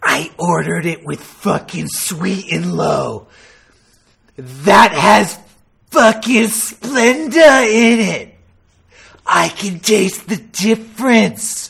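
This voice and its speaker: In a raspy, put-on character voice at a middle pitch, the speaker goes at a very slow pace. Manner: menacing, mocking.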